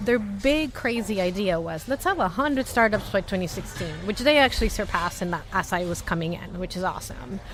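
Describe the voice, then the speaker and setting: An animated, American-accented voice with lively intonation over music in the background. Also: woman. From Latin America. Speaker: startup company staff member. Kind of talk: interview conversation. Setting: booth at a venue with others. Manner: fast.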